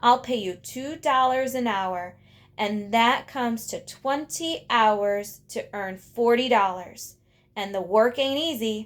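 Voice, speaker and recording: Using a put-on character voice in an Appalachian accent, a woman sounds gruff at a fairly high pitch, speaking at a fairly slow pace with ordinary pitch variation. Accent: rural Appalachian dialect. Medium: read story. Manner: gruff, menacing.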